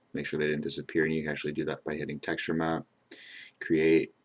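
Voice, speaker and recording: Monotone and flat, a man with a very deep, low pitch races along at a very fast pace. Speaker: 3D modeling instructor. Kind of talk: tutorial.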